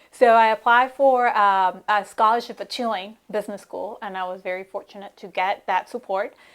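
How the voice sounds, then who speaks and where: A woman talks with monotone, flat intonation. The recording is very clean, with a silent background. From Mexico, Monterrey. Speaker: economic development executive. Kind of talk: live studio interview. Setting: studio.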